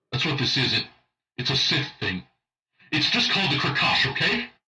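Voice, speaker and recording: A man's raspy, put-on character voice at medium pitch and a moderate pace, with faint music in the background. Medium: dub.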